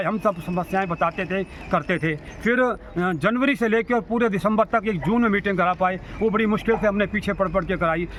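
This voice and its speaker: A high-pitched man with fairly even intonation amid noticeable background noise. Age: 60s. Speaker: social worker. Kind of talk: interview statement on civic issues. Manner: halting, with stammered restarts.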